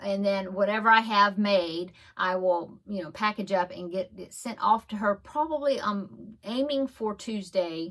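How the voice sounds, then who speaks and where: Ordinary pitch variation marks a woman's unremarkable speaking voice, set at a medium pitch. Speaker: crafting podcaster. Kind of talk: casual show-and-tell vlog.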